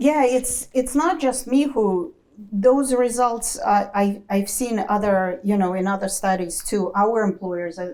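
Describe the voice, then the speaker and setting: A woman with a non-native accent speaks at a fairly slow pace, her medium pitch showing ordinary variation. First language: not English. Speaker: accounting educator, former corporate finance professional. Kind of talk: panel Q&A talk.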